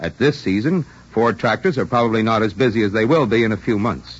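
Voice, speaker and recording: A man with a normal speaking voice talks at a fairly quick pace in a medium pitch, his intonation lively. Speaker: radio announcer. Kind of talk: radio announcer reading commercials and credits. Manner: formal, smooth, brisk.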